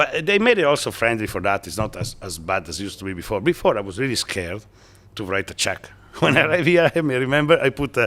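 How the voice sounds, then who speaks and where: Speaking at a very fast pace with an Italian accent, a man moves through very wide pitch swings. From northeast Italy, near Venice. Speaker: businessman. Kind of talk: interview. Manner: halting.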